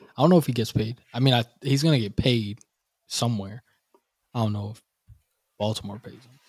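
A somewhat breathy man speaks at a fairly quick pace with long, frequent pauses and big swings in loudness, in a dry, close sound with no echo. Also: medium pitch for a man, ordinary pitch variation. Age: 20s. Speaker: podcast co-host. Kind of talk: casual chat. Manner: animated.

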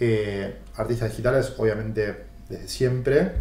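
Amid audible room echo, a man with medium pitch sounds somewhat breathy. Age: 40s. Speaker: podcast host. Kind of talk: interview.

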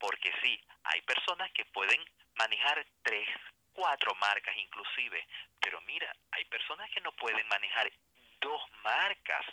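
A man is speaking. His pace is fairly slow. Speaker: writer, journalist and writing instructor. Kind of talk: interview, educational explanation. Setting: remote line.

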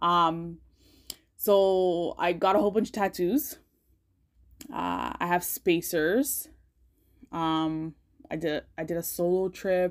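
In a very clean recording with a silent background, a woman with a fairly low pitch and ordinary pitch variation speaks at a very slow pace with long, frequent pauses. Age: 30s. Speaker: podcast host. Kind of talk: casual monologue. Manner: casual, many fillers.

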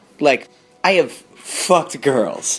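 This is a man talking. His pace is very slow. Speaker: storyteller. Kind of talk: storytelling.

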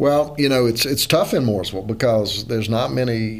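A man with a Southern US accent speaks at a medium pitch with ordinary pitch variation. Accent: Southern, North Carolina-tinged. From Louisiana. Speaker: real estate lawyer and investor. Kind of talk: casual chat.

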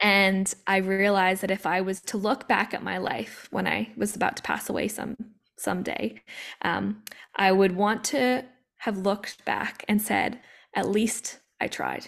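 A woman's normal speaking voice in a Canadian accent, medium in pitch, with fairly even intonation at a fairly slow pace. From Canada, Vancouver. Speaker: former Olympic athlete and coach. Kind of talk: casual chat.

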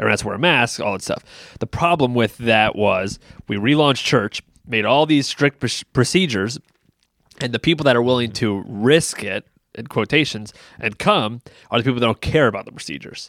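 The man speaks at a moderate pace and a medium pitch with ordinary pitch variation, recorded in a dry, close sound with no echo. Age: 30s. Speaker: pastor and podcast co-host. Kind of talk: casual chat. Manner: loud.

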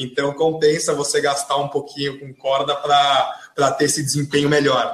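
A man with a fairly high pitch speaks with monotone, flat intonation and hardly any pauses. His loudness swings widely. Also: moderate pace. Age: 20s. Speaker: tennis brand marketing specialist. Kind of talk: casual interview.

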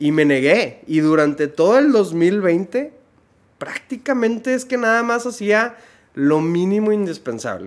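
Speaking at a fairly slow pace with a northern Mexican accent, a man with a high pitch makes very wide pitch swings. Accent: northern Mexican (Monterrey) Spanish. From Monterrey, northern Mexico. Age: 30s. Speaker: dermatologist. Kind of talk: casual interview chat.

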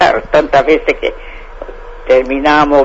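Over noticeable background noise, a man with a fairly high pitch speaks in a monotone, flat delivery. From Santa Fe province, Argentina. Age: 90s. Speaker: elderly interviewee, former dairy farm worker. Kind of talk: casual interview.

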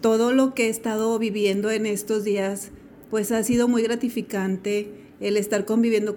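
Her delivery comes at a moderate pace with monotone, flat intonation. The woman's voice sits at a medium pitch. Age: 40s. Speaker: homemaker. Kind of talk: recorded testimony.

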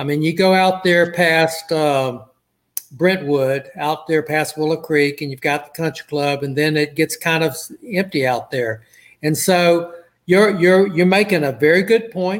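A normal speaking voice with an American accent, ordinary pitch variation and a fairly slow pace. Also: man, fairly high pitch for a man. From Southeast Texas (Port Arthur). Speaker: city council member, retired lawyer. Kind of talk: interview.

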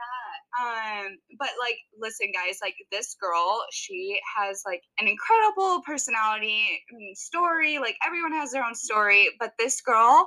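Her voice is high for a woman, bright and sharp, moving through very wide pitch swings at a fairly slow pace. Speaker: podcast host. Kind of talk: casual chat. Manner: animated.

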